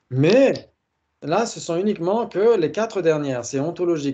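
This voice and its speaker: A man's high voice with a central French accent, dark and mellow in tone, against a quiet background. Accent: Blois accent, central France. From France, Blois area. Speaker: teacher of Buddhist logic. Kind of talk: online lecture with group discussion. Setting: video call with screen share. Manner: says he articulates poorly; hesitant, frequent fillers.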